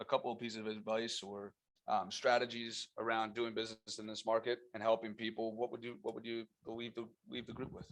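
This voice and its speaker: This man speaks at a fairly quick pace with a medium pitch. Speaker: team meeting moderator. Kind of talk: panel moderation. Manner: loud.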